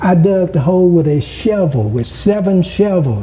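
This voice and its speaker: With lively intonation, a man talks at a very slow pace while noticeable background noise sounds. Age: 70s. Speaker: former mayor. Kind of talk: interview. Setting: at home.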